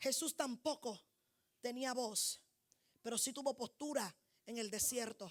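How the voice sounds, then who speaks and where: A woman's high pitch with ordinary pitch variation, a fairly slow pace and long, frequent pauses. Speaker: prophet and preacher. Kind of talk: sermon.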